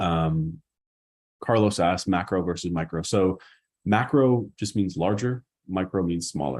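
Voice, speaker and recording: In a Boston accent, a man speaks with a very deep, low pitch and ordinary pitch variation in a very clean recording with a silent background. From US Northeast, Boston. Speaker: marketing educator. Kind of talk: live stream Q&A. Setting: live YouTube stream. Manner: fast; casual.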